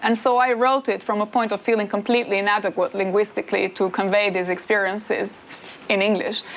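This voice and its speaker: Speaking with an Albanian accent at a fairly quick pace, a woman with a medium pitch keeps a fairly even intonation and very even loudness over noticeable background noise. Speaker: political philosopher and author. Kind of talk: interview on stage.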